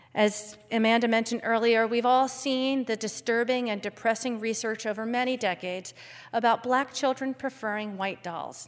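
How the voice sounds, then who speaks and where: A woman with an American accent and an unremarkable speaking voice, a fairly high pitch, fairly even intonation, and a moderate pace. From Philadelphia. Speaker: congregation member and parent. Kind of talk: prepared talk at a service.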